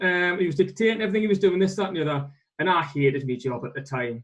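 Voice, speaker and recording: A man speaks with a northeast English accent. His pitch is high, with ordinary variation. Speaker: accountant, firm owner. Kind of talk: webinar interview.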